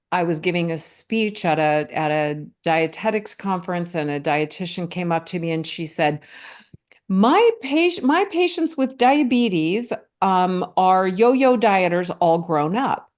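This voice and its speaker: A woman speaks at a fairly slow pace in an unremarkable speaking voice with medium pitch. Her intonation is lively, and the background is quiet. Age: 60s. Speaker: physician and mindful eating author. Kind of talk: podcast interview.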